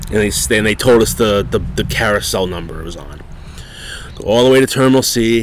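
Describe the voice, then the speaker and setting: Noticeable background noise under a man's moderately paced speech, with ordinary pitch variation. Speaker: podcast host. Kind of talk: casual chat. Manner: casual, profane.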